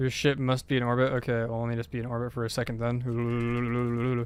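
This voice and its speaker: A man with an American accent speaks in monotone, flat intonation. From United States. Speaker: video game streamer. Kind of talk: casual live stream chat. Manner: more alert, using everyday voice after scare.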